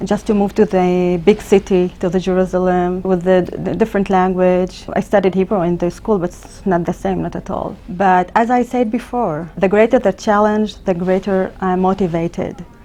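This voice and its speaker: A woman with an Arabic accent at medium pitch, moderate pace, fairly even intonation and hardly any pauses. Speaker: emergency physician. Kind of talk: interview. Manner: halting.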